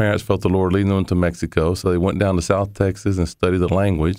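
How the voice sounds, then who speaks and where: The recording of this man's normal speaking voice is very clean, with a silent background. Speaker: missionary and interpreter. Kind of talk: interview.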